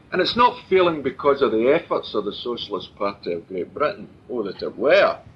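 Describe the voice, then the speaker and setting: A man with a Glaswegian accent, heard over noticeable background noise. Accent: Glaswegian Scottish. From Scotland, Glasgow and Clydebank area. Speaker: political speaker. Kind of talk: public political talk.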